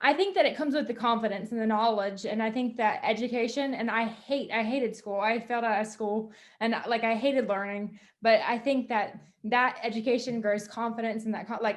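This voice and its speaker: A woman with a fairly high pitch and an unremarkable speaking voice, at a fairly quick pace with fairly even intonation. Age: 20s. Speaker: wealth management business owner. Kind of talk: interview.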